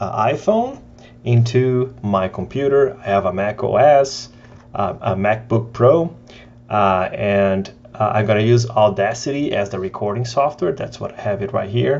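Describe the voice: The voice moves at a fairly slow pace with lively intonation and a slightly mellow tone. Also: man, fairly low pitch for a man.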